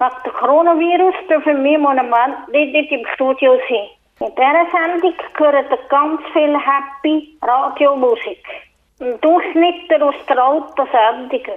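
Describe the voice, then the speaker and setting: Her pitch is high, with ordinary variation. The woman speaks at a very slow pace. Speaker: community radio presenter. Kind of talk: radio presenting. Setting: phone call. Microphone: telephone line quality.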